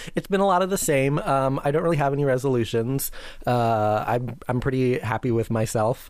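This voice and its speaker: A man with an unremarkable speaking voice talks at a medium pitch and a fairly quick pace, his loudness very even and his pitch variation ordinary. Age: 30s. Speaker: podcast co-host. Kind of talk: casual chat. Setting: remote call.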